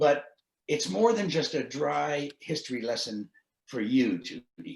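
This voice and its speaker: A man with a Canadian accent speaks at a fairly slow pace, his fairly high voice full of vocal fry and swinging very widely in pitch. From Canada (Guelph, Ontario). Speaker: book editor. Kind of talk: interview at online book launch.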